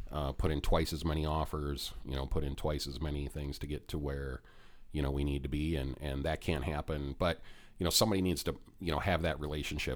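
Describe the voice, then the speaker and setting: Talking at a very fast pace, a man with an American accent uses a very deep, low pitch and vocal fry. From Minnesota. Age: 40s. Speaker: real estate investor and podcast host. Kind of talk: casual chat.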